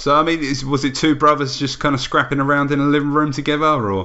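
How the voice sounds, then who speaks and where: A man with an English accent talks at a very fast pace and a fairly high pitch. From England. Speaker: wrestling podcast host. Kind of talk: casual interview.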